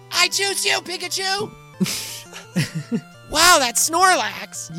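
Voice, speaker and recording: A put-on character voice with an extremely high pitch speaks at a very slow pace. Clear music plays in the background. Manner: enthusiastic, shouting.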